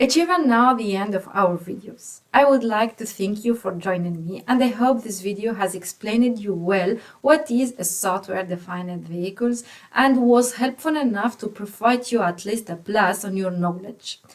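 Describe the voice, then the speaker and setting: Hardly pausing, a woman talks at a moderate pace with a fairly high pitch and ordinary pitch variation. It is an ordinary speaking voice. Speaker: automotive software engineer explaining tech. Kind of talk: tech explainer.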